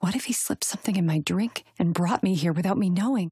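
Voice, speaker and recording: A woman's fairly low, dark and mellow voice, somewhat breathy, with lively intonation at a fairly quick pace, in a dry, close sound with no echo. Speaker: audiobook narrator. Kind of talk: third-person romantic suspense narration.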